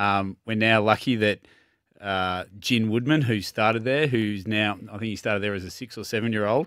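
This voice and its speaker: With an Australian accent, the speech moves at a moderate pace with fairly even intonation, in a dry sound with no echo and a quiet background. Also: man, fairly low pitch for a man. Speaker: tennis centre manager and coach. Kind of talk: casual sports chat. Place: studio. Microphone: studio mic.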